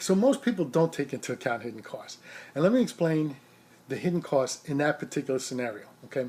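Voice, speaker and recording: A very fast, somewhat breathy voice with a dark, mellow tone. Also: man, fairly high pitch for a man. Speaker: rideshare driver and vlogger. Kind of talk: casual vlog monologue. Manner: soft-spoken; halting, with repeated words and fillers.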